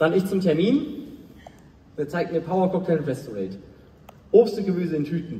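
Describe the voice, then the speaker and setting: A man speaks at a moderate pace in a high voice, with audible echo in the room. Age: 20s. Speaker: motivational speaker. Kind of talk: motivational talk. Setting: stage with audience. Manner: animated. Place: stage.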